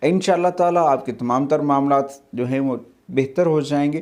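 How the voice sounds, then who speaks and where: A man speaks at a fairly high pitch. He has an unremarkable speaking voice. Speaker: Islamic speaker giving religious advice. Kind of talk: religious talk on benefits of a surah.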